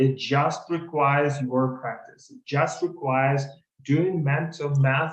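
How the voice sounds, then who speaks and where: Somewhat breathy, a man speaks very slowly at a fairly high pitch, with ordinary pitch variation. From Ukraine. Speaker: consulting interview coach. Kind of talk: webinar. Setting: video call webinar.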